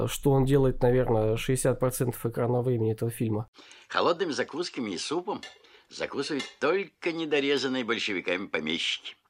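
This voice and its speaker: A man's normal speaking voice at a medium pitch, moderate in pace, with lively intonation. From Novosibirsk, Russia. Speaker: historian, museum co-founder. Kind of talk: casual interview.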